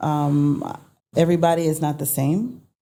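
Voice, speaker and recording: A woman with an American accent speaks very slowly. Her voice is very deep and low, with a dark, mellow tone. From United States. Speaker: entrepreneur. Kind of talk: interview. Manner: animated.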